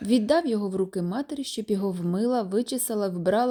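The reading voice is unforced. Its pitch moves in an ordinary way.

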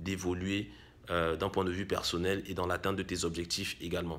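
A man's bright, sharp tone carries fairly even intonation at a moderate pace. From Cameroon. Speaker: YouTuber, real estate investment coach; YouTuber, investment coach. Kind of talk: vlog monologue addressing viewer. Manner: frequent fillers and hesitations. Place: home room. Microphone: phone near.

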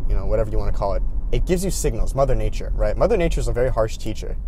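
A man speaks over light background noise, and the sound is dry with no echo. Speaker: YouTube creator. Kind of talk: casual vlog. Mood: reflective, earnest. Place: car. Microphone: phone near.

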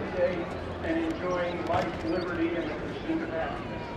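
Loud background noise, audible room echo and a moderate speaking pace. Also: man. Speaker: airshow announcer. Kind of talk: airshow announcer speaking live over PA to a crowd. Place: stadium.

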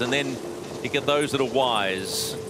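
Noticeable background noise sits behind a man speaking with a New Zealand accent. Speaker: sports broadcaster, lead commentator. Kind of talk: live commentary. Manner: animated.

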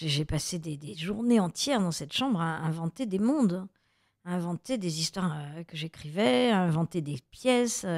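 With a normal speaking voice, a woman of fairly low pitch talks at a moderate pace with lively intonation, the sound dry and close with no echo on a very clean recording with a silent background. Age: 50s. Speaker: actress and author. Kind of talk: radio interview. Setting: radio studio.

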